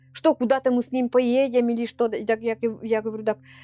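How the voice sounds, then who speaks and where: A woman speaks with a Perm Krai accent in a monotone, flat intonation, the sound dry and close with no echo and music in the background. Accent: Komi-Permyak accent in Russian. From Komi-Permyak area, Perm Krai, Russia. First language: Komi-Permyak (speaking Russian). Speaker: Komi-Permyak culture bearer. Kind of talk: interview. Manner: halting, with many false starts.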